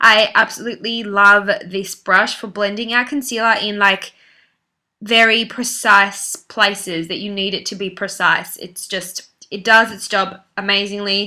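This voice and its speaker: A woman with an Australian accent speaks at medium pitch and a fairly slow pace. Her intonation is monotone and flat, while her loudness swings a lot. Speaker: beauty vlogger. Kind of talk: makeup tutorial voice-over. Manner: casual, chatty.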